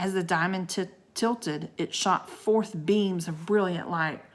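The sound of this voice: A voice reads something aloud. It sounds unforced.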